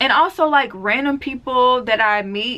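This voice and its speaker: Her pitch fairly high and her intonation lively, a woman talks with a Southern accent. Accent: Southern, sounds country. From US South, deep south Mississippi. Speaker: beauty and natural hair vlogger. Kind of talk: casual Q&A vlog.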